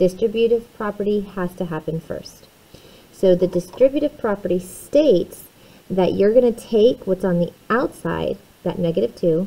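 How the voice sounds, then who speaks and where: This is a woman with an ordinary speaking voice. She talks at a moderate pace, medium pitch and ordinary pitch variation. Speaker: math teacher. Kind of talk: recorded lesson tutorial.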